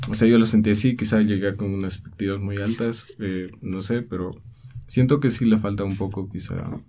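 A man speaks at a moderate pace in a fairly low, dark, mellow voice with fairly even intonation, and audible room echo surrounds him. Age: 20s. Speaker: art student and illustrator. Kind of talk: interview.

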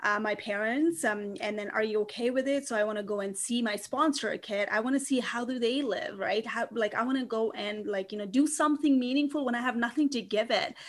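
Fairly high-pitched woman at a fairly quick pace, with ordinary pitch variation, hardly any pauses and noticeable background noise. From Nepal. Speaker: author.

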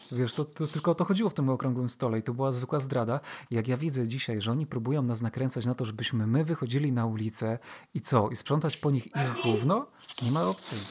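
Somewhat breathy, a man talks. His pace is very fast. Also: medium pitch for a man, ordinary pitch variation. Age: 30s. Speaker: podcast host. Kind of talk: casual chat.

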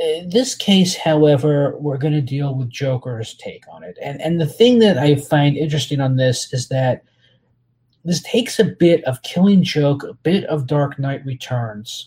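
A man with an American accent, fairly high-pitched, at a fairly slow pace, with lively intonation, a slightly mellow tone and a slightly husky edge.

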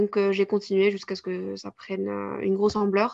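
A woman's voice against a quiet background. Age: 20s. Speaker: sophrologist and content creator. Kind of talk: interview. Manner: halting, many hesitations.

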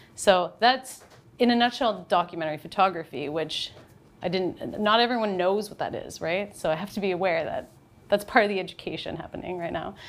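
A woman with a Canadian accent talks in an ordinary speaking voice at a fairly quick pace and medium pitch, with ordinary pitch variation and big swings in loudness. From Canada, North Bay, Ontario. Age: 30s. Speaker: documentary photographer. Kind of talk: interview. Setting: studio.

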